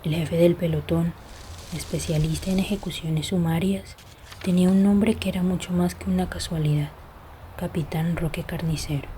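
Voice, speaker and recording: Soft-spoken whispering at a moderate pace over noticeable background noise. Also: woman. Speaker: audiobook narrator. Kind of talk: reading aloud.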